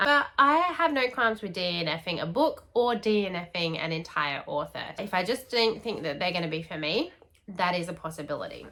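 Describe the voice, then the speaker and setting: A woman speaks with an Australian accent at a moderate pace. Her pitch swings very widely. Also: medium pitch for a woman. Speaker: book youtuber. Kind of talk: casual vlog chat.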